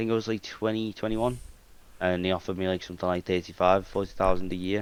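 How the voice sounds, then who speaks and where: A man speaks with a British accent in a very deep, low pitch. His delivery is very fast and monotone, with flat intonation. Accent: regional British. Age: 20s. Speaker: IT technician and talent manager. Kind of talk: casual podcast interview. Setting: live-streamed online podcast. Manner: halting, many restarts and fillers.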